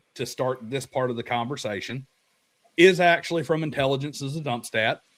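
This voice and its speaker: A man speaks in a Southern US accent at a moderate pace, his pitch fairly high. His pitch moves with ordinary variation. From US South. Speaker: tabletop RPG video creator. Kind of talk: casual chat. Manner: animated.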